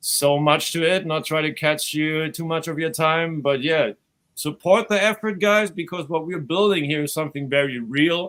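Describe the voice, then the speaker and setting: Speaking with a German accent, a man uses ordinary pitch variation. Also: fairly high pitch for a man, moderate pace. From Germany. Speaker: crypto event organizer and channel host. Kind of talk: casual promo talk.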